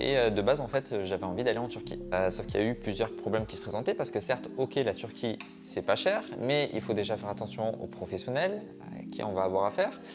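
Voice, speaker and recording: The speech runs at a fairly quick pace. Behind it, music is playing. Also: man. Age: 30s. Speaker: hair transplant patient. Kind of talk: testimonial interview. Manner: casual, hesitant with many fillers.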